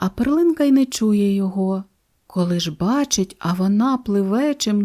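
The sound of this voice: Over a quiet background comes an unforced reading voice with lively intonation.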